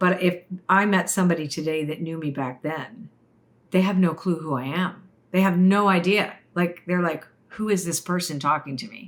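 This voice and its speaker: An animated tone at a moderate pace. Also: woman, fairly low pitch for a woman, ordinary pitch variation. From Canada, Toronto. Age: 60s. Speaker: oracle card reader and spiritual teacher. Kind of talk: interview, personal story. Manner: animated, with frequent restarts and fillers.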